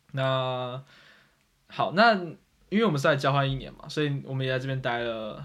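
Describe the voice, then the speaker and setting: The speaker goes at a moderate pace with ordinary pitch variation, long, frequent pauses and big swings in loudness, with audible room echo. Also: man, medium pitch for a man. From Taiwan. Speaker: podcast host. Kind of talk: casual chat.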